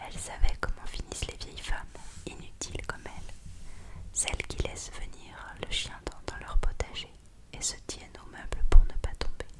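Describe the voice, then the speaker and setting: A woman whispers at a moderate pace with long, frequent pauses and big swings in loudness against noticeable background noise. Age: 20s. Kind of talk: whispered novel reading. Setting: home studio. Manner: whispered.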